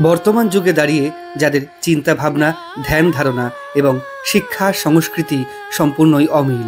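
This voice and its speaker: Over music in the background, a man with a fairly high pitch speaks at very even loudness, his pitch varying in an ordinary way. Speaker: travel vlogger. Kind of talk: documentary narration.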